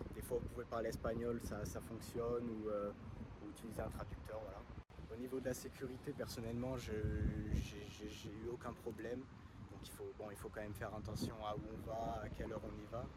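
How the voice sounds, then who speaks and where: A man speaks at a moderate pace and medium pitch, in a monotone, flat intonation with vocal fry. Audible room echo fills the recording. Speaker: engineering student. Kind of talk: video testimonial. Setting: outdoors on a beach. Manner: halting, many fillers.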